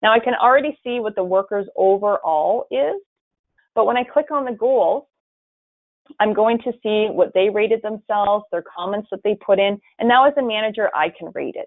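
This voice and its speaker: A woman's fairly high-pitched voice with ordinary pitch variation. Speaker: software demo presenter. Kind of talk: webinar product demo. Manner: fast.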